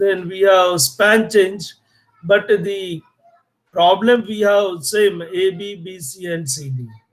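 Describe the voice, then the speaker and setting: A man's high pitch, a very slow pace, and big swings in loudness. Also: ordinary pitch variation. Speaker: engineering lecturer. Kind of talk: lecture.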